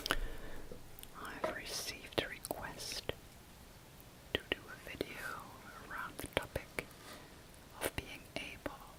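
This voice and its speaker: A calm whisper moves at a very slow pace, broken by long, frequent pauses. Its loudness swings widely over noticeable background noise. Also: woman. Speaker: ASMR life coach. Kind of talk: coaching session delivered in ASMR style. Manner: whispering, soft-spoken, calm.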